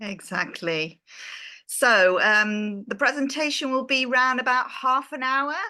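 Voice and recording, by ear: In an English accent, a woman reads at a fairly slow pace, her high voice bright and sharp in tone, with ordinary pitch variation. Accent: British, English.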